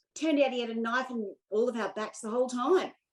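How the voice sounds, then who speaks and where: This woman talks in a high pitch with an Australian accent. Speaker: US expat tax activist. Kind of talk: interview.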